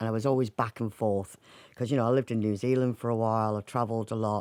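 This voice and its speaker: A woman's very deep, low voice with a dark, mellow tone, dry and close with no echo. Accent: Mancunian. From Manchester, northern England. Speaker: singer, actor and writer. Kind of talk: radio interview.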